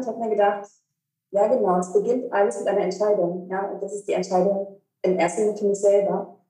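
A woman's dark, mellow voice at a medium pitch and a very fast pace. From eastern Germany, Cottbus. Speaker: breathing coach and relaxation therapist. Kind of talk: casual interview.

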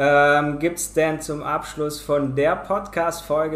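Against noticeable background noise, a man with a fairly high pitch speaks fairly slowly in a monotone, flat way. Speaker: podcast host. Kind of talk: casual interview.

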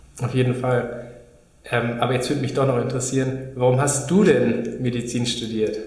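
Amid noticeable background noise and audible room echo, a man speaks at a moderate pace in a medium pitch with monotone, flat intonation. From Munich, Bavaria. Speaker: dermatologist, podcast co-host. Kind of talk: educational conversation. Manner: hesitant, with fillers.

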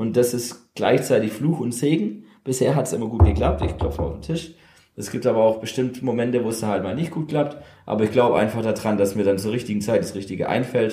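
A man's medium-pitched, somewhat breathy voice with a dark, mellow tone, lively intonation and a fairly quick pace, in audible room echo. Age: 30s. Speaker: DJ, former upholsterer. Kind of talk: casual interview chat. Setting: converted old car workshop.

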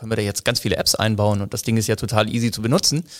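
A man is speaking. He talks at a very fast pace. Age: 40s. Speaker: business development manager in telecom. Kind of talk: interview. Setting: studio, face to face. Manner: hesitant with fillers.

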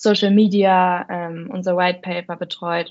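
A woman's fairly low-pitched voice. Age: 20s. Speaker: content marketer at a software review platform. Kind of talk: casual interview.

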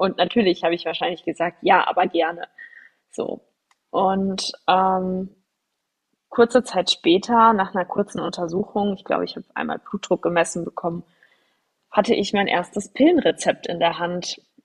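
At a moderate pace and medium pitch, a woman speaks somewhat breathily with fairly even intonation and long, frequent pauses, the sound dry and close with no echo. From Germany, near Frankfurt. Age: 30s. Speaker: podcast host. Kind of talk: solo personal storytelling podcast. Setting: studio microphone.

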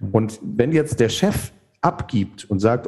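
Vocal fry runs through the man's dark, mellow tone. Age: 50s. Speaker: theologian and author. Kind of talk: interview.

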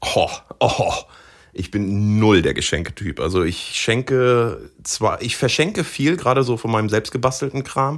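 In a plain, everyday voice, a man speaks at a medium pitch and moderate pace with lively intonation on a very clean recording with a silent background. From Osnabrück, northern Germany. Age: 30s. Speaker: professional angler. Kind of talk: casual interview chat.

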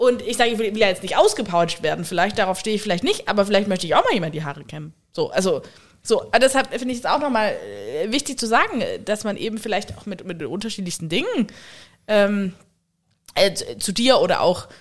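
A woman with a medium-pitched voice speaks at a very fast pace, her loudness swinging widely. The recording is very clean, with a silent background. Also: lively intonation. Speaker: podcast co-host. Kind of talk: casual chat. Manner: quiet.

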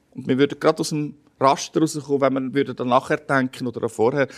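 Speech in a Swiss accent moves at a moderate pace. The sound is dry and close with no echo, on a very clean recording with a silent background. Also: man. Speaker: pastor. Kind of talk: interview.

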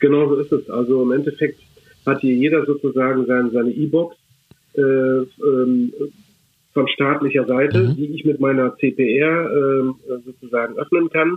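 Pausing long and often, a man speaks at a moderate pace with a fairly high pitch and monotone, flat intonation. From Germany. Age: 50s. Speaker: relocation advisor for a municipality. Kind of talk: interview. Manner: halting, many filler sounds.

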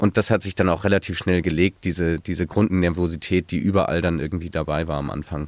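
A man's very deep, low voice at a very fast pace with hardly any pauses and fairly even intonation, dry and close with no echo, on a very clean recording with a silent background. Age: 20s. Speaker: master's student, mentee. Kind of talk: podcast interview.

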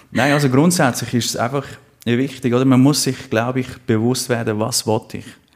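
Here is a man with a plain, everyday voice at a medium pitch. He speaks at a moderate pace with fairly even intonation. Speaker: life coach. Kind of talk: interview. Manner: playful.

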